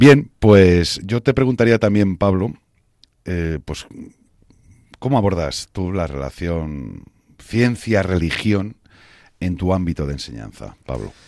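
A man with a very deep, low pitch speaks very slowly with lively intonation and long, frequent pauses, in a very clean recording with a silent background. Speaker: radio host. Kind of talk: religious radio talk show.

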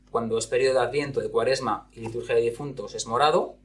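The man keeps a moderate pace while music plays in the background. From Spain, Zaragoza (Aragon). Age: 30s. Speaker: school counselor. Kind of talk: interview. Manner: halting, with repetitions.

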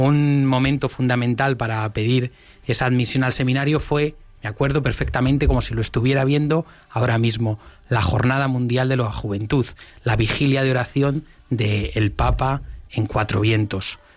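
A man speaks in a normal speaking voice at medium pitch and a moderate pace. His loudness stays very even and his intonation fairly even. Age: 20s. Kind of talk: radio interview.

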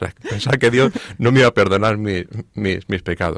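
Dry and close with no echo, a man's voice carries ordinary pitch variation. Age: 50s. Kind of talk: testimony. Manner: halting, repeats words.

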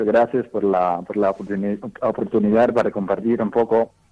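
The speaker is a man with an English accent. He talks at a fairly slow pace. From US, Dallas, Texas. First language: English (speaking Spanish). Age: young. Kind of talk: radio interview. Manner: halting.

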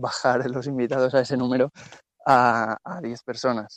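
The man's voice sits at a medium pitch. He talks at a fairly slow pace. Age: 20s. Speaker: guest, newlywed. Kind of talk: testimony.

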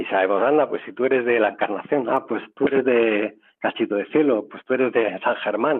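Here a man of medium pitch talks at a moderate pace with ordinary pitch variation. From Madrid, Spain. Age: 50s. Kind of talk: radio interview testimony. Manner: hesitant, many fillers.

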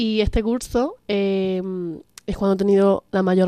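A woman speaks at a medium pitch with a dark, mellow tone and a flat, monotone delivery. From Extremadura, Spain (Cáceres). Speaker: university student. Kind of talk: casual chat. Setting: radio studio.

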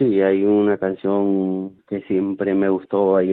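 A man's fairly low-pitched voice. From Peru. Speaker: football coach. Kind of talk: interview. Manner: halting.

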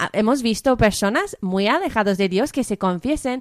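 In a very clean recording with a silent background, a woman with an English-speaking accent talks at a moderate pace with very wide pitch swings. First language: English (speaking Spanish). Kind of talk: radio interview. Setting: studio.

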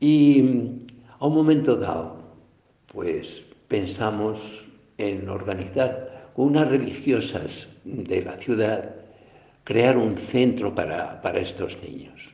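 At a very slow pace with long, frequent pauses, a man speaks in a medium pitch with ordinary pitch variation and big swings in loudness. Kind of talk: recorded audio message. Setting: self-recorded audio sent from abroad.

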